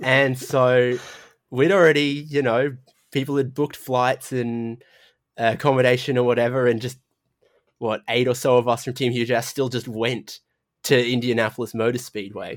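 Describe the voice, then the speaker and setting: Over a silent background in a very clean recording, a man with an Australian accent speaks at a medium pitch and moderate pace in a flat, monotone delivery. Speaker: sim racing commentator. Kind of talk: casual podcast interview.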